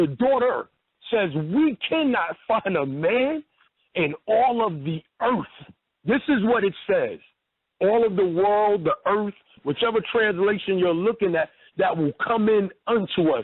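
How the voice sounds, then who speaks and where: A man speaks with a New York accent. His pitch is high and his loudness very even. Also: lively intonation, fairly slow pace. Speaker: religious debater. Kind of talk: phone-in debate.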